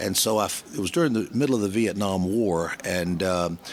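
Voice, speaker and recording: With a Southern US accent, a man speaks at a fairly low pitch with ordinary pitch variation. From US South, Georgia (Columbus/Atlanta). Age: 70s. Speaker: business networker. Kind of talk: interview storytelling.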